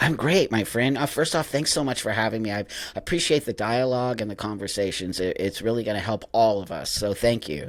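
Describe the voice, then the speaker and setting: Speaking with a Californian accent, a man at medium pitch uses lively intonation and hardly any pauses. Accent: Californian American. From Southern California. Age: 60s. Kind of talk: interview. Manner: casual, animated.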